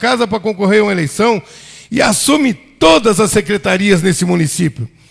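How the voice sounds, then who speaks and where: A man with a high pitch talks at a moderate pace. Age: 60s. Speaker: city councillor. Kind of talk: council floor speech. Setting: council chamber session. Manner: heated, indignant.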